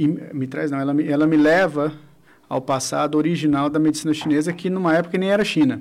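This man has a normal speaking voice, pitched fairly high. He talks at a fairly quick pace with fairly even intonation. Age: 40s. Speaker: acupuncturist and physiotherapy teacher. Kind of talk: radio interview.

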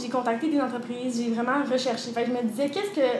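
A woman speaks at a very fast pace in a high pitch. Noticeable background noise and audible room echo surround her voice. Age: 20s. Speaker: personal trainer and entrepreneur. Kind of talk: interview.

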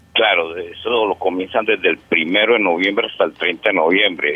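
Over noticeable background noise, a man speaks with a paisa accent. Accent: paisa Colombian Spanish. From Antioquia, Colombia. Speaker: caller. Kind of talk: personal ghost story on phone. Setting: phone call.

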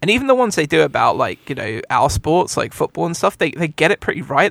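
A man speaks at a very fast pace, and the sound is dry and close with no echo. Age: 30s. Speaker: podcast co-host. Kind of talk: casual chat. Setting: video call.

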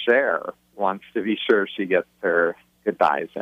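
This man has a plain, everyday voice with fairly low pitch. He speaks at a fairly slow pace with ordinary pitch variation. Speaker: author. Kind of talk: interview.

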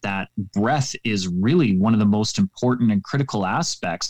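A man at a moderate pace with a Canadian accent, the sound dry and close with no echo. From Canada. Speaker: public speaking coach. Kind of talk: interview. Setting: remote call.

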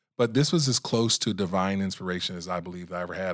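Here a man speaks with an American accent. His pitch is very deep and low, and his pace fairly quick. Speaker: video creator and speaker. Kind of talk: casual interview chat.

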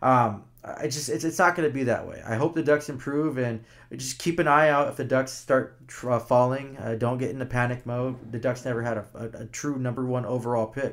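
Using a plain, everyday voice, a man talks at medium pitch and a fairly quick pace with fairly even intonation and hardly any pauses. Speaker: hockey podcast co-host. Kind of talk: casual sports talk podcast.

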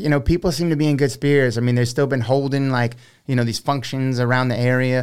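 Monotone, flat intonation on a very clean recording with a silent background. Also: man. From South Louisiana (Houma). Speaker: cooking content creator. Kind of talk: casual interview chat. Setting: studio.

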